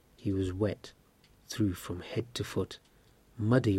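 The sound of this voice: An unforced reading voice kept to fairly even intonation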